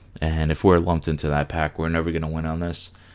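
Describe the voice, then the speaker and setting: A man with an American accent, very deep and low in pitch, in a monotone, flat intonation. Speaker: podcast host, digital marketer. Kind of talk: solo podcast monologue.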